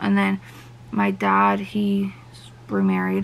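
A woman speaks in a flat monotone with vocal fry.

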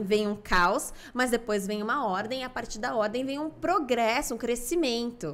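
This woman's intonation is lively. She talks at a fairly slow pace. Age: 20s. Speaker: family constellation therapist; podcast guest. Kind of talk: interview. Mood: warm, animated, smiling. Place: studio. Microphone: studio mic.

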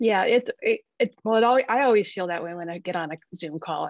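Lively intonation moves at a moderate pace, the sound dry with no echo and the background quiet. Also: woman. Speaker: artist. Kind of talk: webinar conversation. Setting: video call. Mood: warm, slightly self-deprecating. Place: home room. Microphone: video call.

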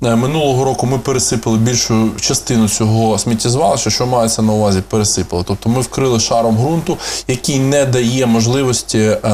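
With light background noise behind him, a man speaks at a fairly quick pace with fairly even intonation. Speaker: guest. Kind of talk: interview answer. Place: studio. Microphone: lapel.

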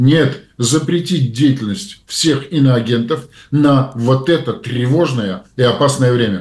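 A somewhat breathy man at a very slow pace. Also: medium pitch for a man, ordinary pitch variation, very even loudness. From Belarus. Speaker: publicist and public figure, co-host. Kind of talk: casual political discussion.

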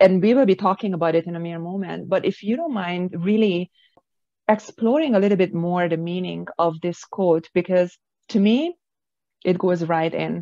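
A woman speaks in a dark, mellow tone with ordinary pitch variation. The sound is dry with no echo, over a quiet background. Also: medium pitch for a woman, moderate pace. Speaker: podcast host and author. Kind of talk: interview. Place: office. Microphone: video call.

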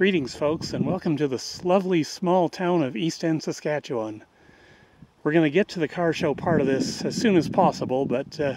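Over noticeable background noise, a man talks at a moderate pace with ordinary pitch variation in a dry sound with no echo. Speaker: walking tour vlogger. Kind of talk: casual vlog chat. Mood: hot, relaxed, joking. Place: street. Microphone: phone near.

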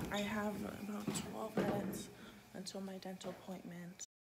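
A woman's flat, monotone voice over loud background noise. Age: 20s. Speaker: vlogger. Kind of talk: casual talk to camera.

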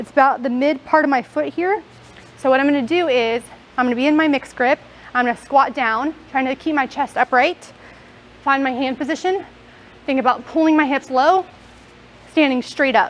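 At a fairly quick pace, a woman speaks with a high pitch. Her pitch variation is ordinary. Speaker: fitness coach. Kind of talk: tutorial. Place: gym.

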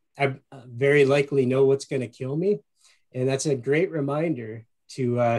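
A man with an Upper Peninsula Michigan accent speaks at a moderate pace. His pitch varies in an ordinary way against a quiet background. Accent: Upper Midwest (Yooper). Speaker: marketing executive and radio show host; guest. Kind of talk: webinar presentation. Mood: warm, enthusiastic. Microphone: video call.

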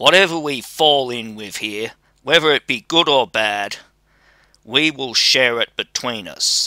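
Speaking at a fairly slow pace, a man uses a put-on character voice at a medium pitch. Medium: read story. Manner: bold, fearless, mocking.

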